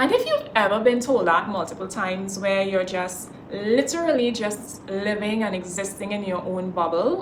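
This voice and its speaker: Her pitch fairly high, a woman speaks at a moderate pace amid noticeable background noise. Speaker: spoken word poet. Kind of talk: casual talk to camera.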